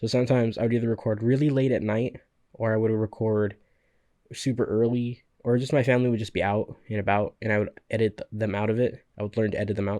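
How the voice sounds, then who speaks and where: A man speaks very fast in a dark, mellow tone. His intonation stays flat and monotone. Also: medium pitch for a man, quiet background. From Central California valley. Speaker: podcaster and gaming youtuber. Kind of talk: solo podcast monologue. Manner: casual, halting with fillers.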